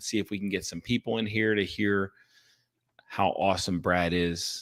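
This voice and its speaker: Heard in a very clean recording with a silent background, a man uses a normal speaking voice, fairly low in pitch, at a moderate pace. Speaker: podcast host. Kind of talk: live stream interview. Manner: upbeat.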